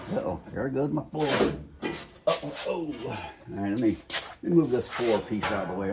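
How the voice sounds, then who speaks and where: A medium-pitched man speaks with lively intonation amid noticeable background noise and audible room echo. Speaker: DIY truck restoration youtuber. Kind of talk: tutorial. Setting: home garage. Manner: soft-spoken; casual, halting with fillers.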